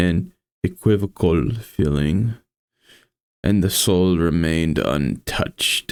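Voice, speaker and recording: A man at a very slow pace with a very deep, low pitch, ordinary pitch variation and a tired tone, in a very clean recording with a silent background. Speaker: vtuber streamer. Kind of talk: reading a classic horror story aloud, audiobook-style.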